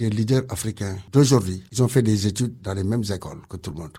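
With a dark, mellow tone, a man speaks at a fairly quick pace and sounds somewhat breathy. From Senegal. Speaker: community centre director. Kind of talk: radio interview.

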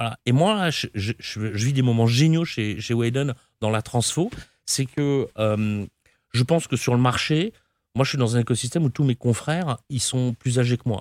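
A man speaks in an unremarkable speaking voice at a medium pitch, with lively intonation. The recording is very clean, with a silent background and a dry, close sound that has no echo. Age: 50s. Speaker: company founder and CEO. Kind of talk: interview.

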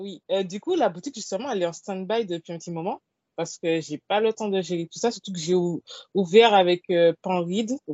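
Speaking at a fairly quick pace, a woman has a normal speaking voice at medium pitch, with ordinary pitch variation and big swings in loudness. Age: 20s. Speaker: literary blogger and author. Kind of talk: casual interview.

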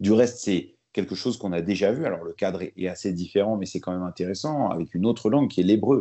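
A man's fairly low voice, ordinary pitch variation, a very fast pace and hardly any pauses. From France, born in Lebanon. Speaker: journalist and author. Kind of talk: interview.

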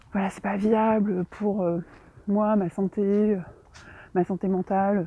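A woman's intonation stays fairly even as she talks at a fairly slow pace. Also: quiet background. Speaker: novelist and podcaster. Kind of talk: casual solo monologue. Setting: outdoors, walking. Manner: hesitant, many fillers.

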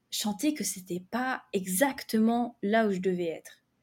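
A woman's somewhat breathy, fairly high voice with a dark, mellow tone and lively intonation. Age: 20s. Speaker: novelist and content creator for writers. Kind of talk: casual interview.

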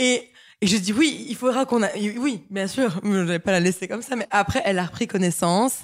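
Speaking at a moderate pace with lively intonation, a woman uses a medium pitch on a very clean recording with a silent background. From Belgium, Liège. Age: 20s. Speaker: fashion model. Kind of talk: interview. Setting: at home. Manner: halting.

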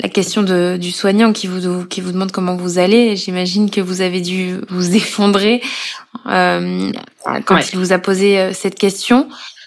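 Her intonation is monotone and flat as a woman speaks at medium pitch. She keeps a fairly slow pace. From Corrèze, France. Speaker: podcast host and journalist. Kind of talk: interview.

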